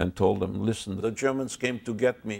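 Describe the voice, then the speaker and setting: A man is speaking. He has a French accent. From Belgium. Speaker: Holocaust survivor. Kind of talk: testimony.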